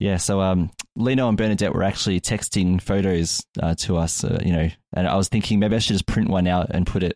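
A man with an Australian accent speaks at a fairly quick pace in a very deep, low voice, his loudness very even and his intonation fairly even, in a dry, close recording with no echo. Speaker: podcast host. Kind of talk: casual chat; scripted intro.

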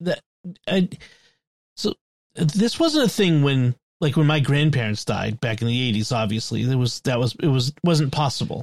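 A man with a fairly high, somewhat breathy voice speaks at a moderate pace with lively intonation and very even loudness. He leaves long, frequent pauses, and the sound is dry and close with no echo. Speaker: podcast host. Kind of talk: casual chat.

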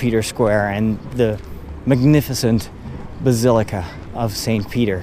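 Speech comes at a fairly slow pace. Noticeable background noise sits behind it. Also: man. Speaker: priest and podcast host. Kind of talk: walking tour narration. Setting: outdoors.

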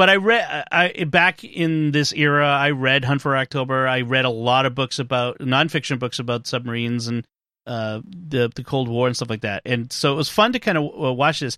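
With hardly any pauses, a man talks in a bright, sharp tone and ordinary pitch variation over a quiet background. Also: medium pitch for a man. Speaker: podcast host. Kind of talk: casual chat. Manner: fast talker.

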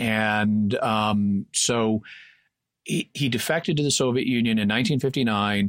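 A man's plain, everyday voice with an American accent, at a medium pitch and a fairly slow pace, with fairly even intonation and very even loudness, on a very clean recording with a silent background. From Texas. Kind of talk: casual explanatory discussion.

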